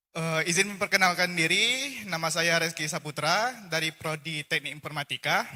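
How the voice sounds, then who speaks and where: A man with a high pitch and hardly any pauses, amid noticeable background noise. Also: ordinary pitch variation, moderate pace. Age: young. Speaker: college student. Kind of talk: audience question. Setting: hall, at a microphone. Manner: halting, many fillers.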